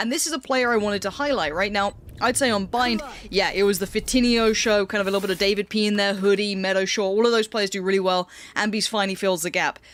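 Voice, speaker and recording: Talking at a very fast pace in a London accent, a woman keeps a medium pitch with ordinary pitch variation. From northwest London. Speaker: esports caster. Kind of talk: live commentary.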